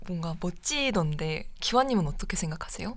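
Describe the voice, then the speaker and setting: Audible room echo surrounds a woman who speaks at a medium pitch and a moderate pace with lively intonation. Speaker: student radio DJ. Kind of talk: radio show, advice and reading listener stories.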